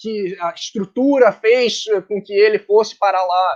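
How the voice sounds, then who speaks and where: A man with a high-pitched voice. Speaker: book co-organizer presenting a tribute volume. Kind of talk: online book launch presentation. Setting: online live stream.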